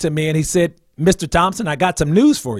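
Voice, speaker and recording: In an American accent, a man with a fairly high pitch speaks on a very clean recording with a silent background and a dry, close sound with no echo. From New Jersey, New Brunswick. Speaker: minister, liver transplant survivor. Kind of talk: interview testimony. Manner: hesitant, many fillers.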